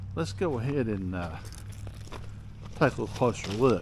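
With light background noise behind him, a man talks at a moderate pace using lively intonation. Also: dry sound with no echo. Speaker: local history vlogger. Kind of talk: casual vlog chat. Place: open country. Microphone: phone near.

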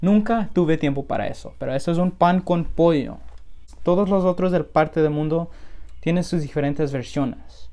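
A man's high-pitched voice, dark and mellow in tone, at a moderate pace with ordinary pitch variation. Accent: strong American. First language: English (speaking Spanish). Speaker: food vlogger. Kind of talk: casual chat; casual vlog chat. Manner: halting. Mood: relaxed, cheerful. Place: home room. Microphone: phone near.

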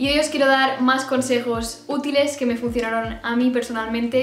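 Amid audible room echo and faint music in the background, a woman speaks at a moderate pace in a high voice. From Spain. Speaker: YouTuber. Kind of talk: casual talk to camera. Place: home room.

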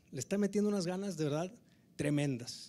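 A man speaks at a fairly quick pace with a northern Mexican accent. His pitch varies in an ordinary way. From Mexico. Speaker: government tourism official, politician; politician. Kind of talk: informal speech. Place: hall. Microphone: handheld.

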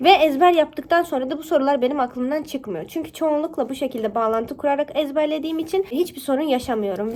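A woman with a high pitch talks at a fairly quick pace with hardly any pauses and ordinary pitch variation, against noticeable background noise. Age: 20s. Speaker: YouTuber and university student. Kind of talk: tutorial.

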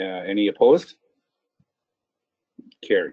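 Slow and dry, with a close sound and no echo, a man's voice carries a slightly husky edge and big pitch swings. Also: fairly low pitch for a man.

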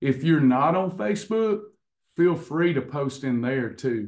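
A man talks at a medium tempo, and the background stays quiet. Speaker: coach hosting online class. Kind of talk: casual talk to class. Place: office. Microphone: video call.

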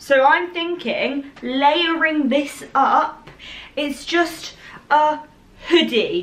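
In an English accent, a woman with high pitch speaks at a very slow pace with ordinary pitch variation. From England. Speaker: fashion YouTuber. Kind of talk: try-on haul video. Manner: excitable. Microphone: camera far.

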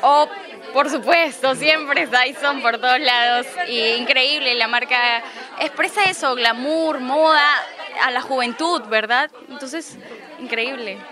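Music plays behind a woman whose high-pitched, raised, projected voice moves at a very slow pace with ordinary pitch variation, the sound dry with no echo. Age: 20. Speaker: beauty contest finalist. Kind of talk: casual interview. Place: hall. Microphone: handheld.

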